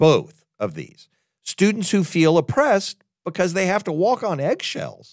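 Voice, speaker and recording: A man with vocal fry and a fairly high pitch speaks at a moderate pace in a very clean recording with a silent background. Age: 60s. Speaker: podcast host and college president. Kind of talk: monologue podcast commentary.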